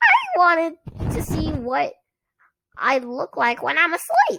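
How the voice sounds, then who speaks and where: Putting on a squeaky character voice, a woman projects at an extremely high pitch with very wide pitch swings and a fairly slow pace. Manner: comic.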